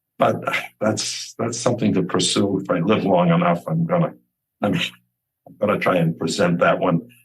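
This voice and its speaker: Very deep and low in pitch, a man speaks with vocal fry at a moderate pace, his pitch varying in an ordinary way. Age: 80s+. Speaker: author, grieving father. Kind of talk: interview. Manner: halting, many repetitions.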